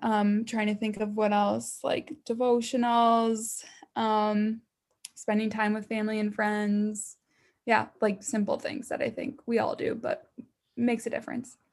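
A woman's somewhat breathy, fairly high voice with monotone, flat intonation. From US Midwest. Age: 20s. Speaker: fitness instructor and online fitness entrepreneur. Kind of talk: casual interview chat.

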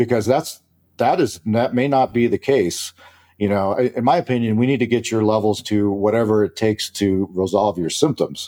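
With an American accent, a man uses a normal speaking voice at medium pitch, ordinary pitch variation, very even loudness and a moderate pace, in a very clean recording with a silent background and a dry, close sound with no echo. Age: 50s. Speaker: physician. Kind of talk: casual chat.

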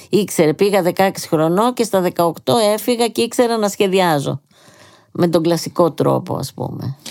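Her voice fairly low, a woman speaks with lively intonation and vocal fry. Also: fairly slow pace. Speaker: painter and author. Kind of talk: interview.

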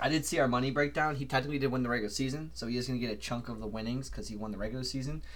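Talking at a very fast pace, a man shows ordinary pitch variation. Vocal fry is present in his voice. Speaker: podcast host. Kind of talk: casual sports chat. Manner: rambling, filler words.

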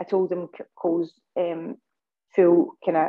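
A woman speaks with a Scottish accent. Her intonation is monotone and flat. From Scotland. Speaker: parent of a sick child, medical cannabis advocate. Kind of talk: interview testimony. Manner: halting, many fillers and restarts.

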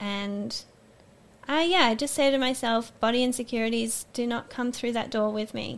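A woman speaks with an Australian accent at a fairly high pitch. Her intonation stays fairly even. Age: 20s. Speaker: student. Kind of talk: interview testimony.

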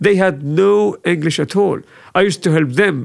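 Recorded very cleanly with a silent background, a man speaks with an Arabic accent and ordinary pitch variation. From Syria. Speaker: refugee resettlement worker. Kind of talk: casual chat.

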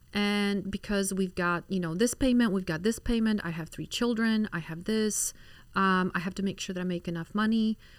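In a very clean recording with a silent background, a woman with a Polish accent speaks at a moderate pace, her medium pitch carrying fairly even intonation. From Poland. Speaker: physician. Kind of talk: casual interview. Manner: hesitant, many fillers.

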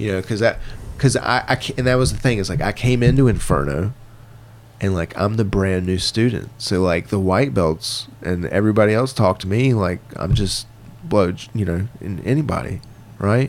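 A normal speaking voice with an American accent, ordinary pitch variation and a moderate pace. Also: man, fairly low pitch for a man. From Virginia. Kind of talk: casual chat.

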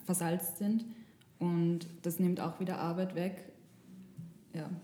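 A woman speaks at a very slow pace with a fairly low pitch. Her intonation is monotone and flat. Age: 20s. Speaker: journalism student, podcast co-host. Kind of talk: casual chat. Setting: studio.

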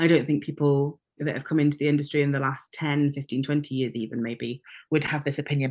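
A very fast, monotone, flat delivery from a woman with a very deep, low pitch and a Welsh accent. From Wales. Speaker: theatre maker and director. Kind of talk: casual interview chat.

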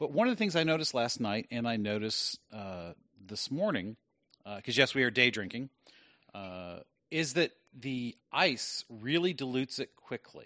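A man with a bright, sharp tone speaks at medium pitch. The sound is dry and close with no echo, over a quiet background. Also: lively intonation, moderate pace, big swings in loudness. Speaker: podcast host. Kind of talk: casual banter podcast.

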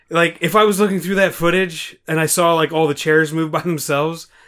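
This man has a normal speaking voice at a fairly high pitch. His pace is moderate. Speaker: podcast host. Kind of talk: casual chat, drinking game.

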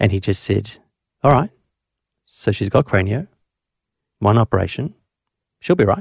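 With a dry, close sound and no echo, a man speaks at a moderate pace and fairly low pitch, somewhat breathy, with long, frequent pauses. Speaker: paediatrician and podcast host. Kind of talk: interview.

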